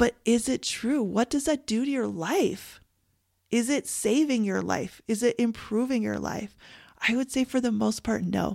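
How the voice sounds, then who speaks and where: A woman with a Canadian accent has an ordinary speaking voice, pitched fairly high with ordinary variation. She talks fairly slowly on a very clean recording with a silent background. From Canada. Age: 40s. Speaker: grief coach and podcast host. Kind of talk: solo podcast monologue.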